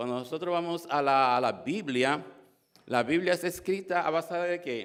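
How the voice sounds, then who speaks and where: Ordinary pitch variation and a moderate pace from a man with a fairly high voice. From Dominican Republic. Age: 60s. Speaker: church member giving testimony. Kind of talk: testimony. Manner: halting, many fillers and repetitions.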